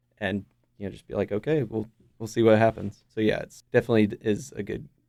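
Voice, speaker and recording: A man's fairly low voice, dark and mellow in tone, with vocal fry, ordinary pitch variation and a very fast pace. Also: big swings in loudness. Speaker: band lead singer and songwriter. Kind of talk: casual interview.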